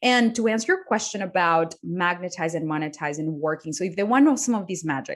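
Against a quiet background, a woman with a Spanish accent talks at a fairly quick pace with very wide pitch swings. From Colombia. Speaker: business coach. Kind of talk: interview.

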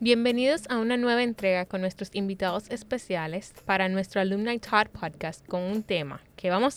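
This is an unremarkable speaking voice. It moves at a moderate pace with ordinary pitch variation. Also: woman. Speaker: podcast host. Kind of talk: panel discussion.

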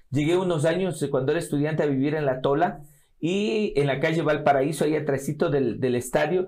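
The speaker is a man with a dark, mellow tone. He keeps to a moderate speed. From Ecuador, Riobamba (Andean highlands). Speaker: politician and lawyer. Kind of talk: interview.

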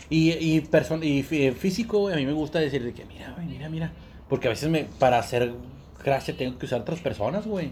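Somewhat breathy, a man with a fairly high voice speaks fairly quickly, with ordinary pitch variation and big swings in loudness. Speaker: podcast co-host. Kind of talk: casual chat. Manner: animated.

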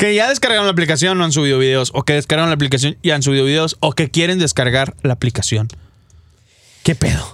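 Talking at a very fast pace, a man holds his loudness very even. His pitch is fairly high. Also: ordinary pitch variation. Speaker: radio host. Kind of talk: casual chat. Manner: animated.

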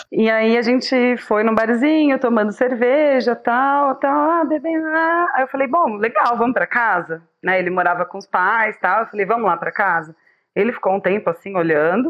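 A woman's fairly high voice with very wide pitch swings, at a moderate pace, in a very clean recording with a silent background. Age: 30s. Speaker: public health nutritionist and meme page admin. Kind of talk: casual chat.

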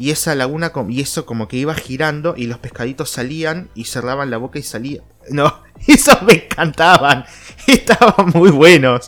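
In a Rioplatense accent, a man talks at a moderate pace and a fairly high pitch, with lively intonation and big swings in loudness. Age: 30s. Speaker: podcast host. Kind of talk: casual solo monologue. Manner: animated.

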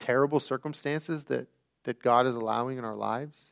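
The speaker has a Midwestern American accent and a fairly quick pace with fairly even intonation. The recording is very clean and silent behind, with a dry, close sound and no echo. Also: man. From US Midwest, Elyria, Ohio. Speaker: camp director and guest preacher. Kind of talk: sermon. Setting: church. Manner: halting, many fillers.

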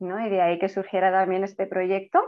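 The voice of a woman sits at a medium pitch. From Spain. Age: 30s. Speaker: children's yoga teacher. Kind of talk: interview. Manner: calm.

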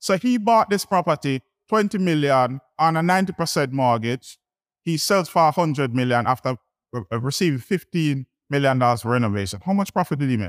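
The dry, close recording captures a man at a fairly high pitch, talking at a fairly quick pace with very wide pitch swings. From Jamaica (Kingston). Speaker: real estate investor. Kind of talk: conference talk. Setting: stage with audience.

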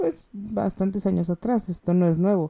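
A woman is speaking. The tone is dark and mellow. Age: 20s. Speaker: podcast host and clinical psychologist. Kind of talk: solo educational talk.

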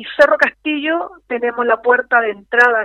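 A woman with a high pitch, ordinary pitch variation and a moderate pace. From Chilean Patagonia (Magallanes). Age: 50s. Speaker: former mayor and political candidate. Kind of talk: radio interview. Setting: phone call.

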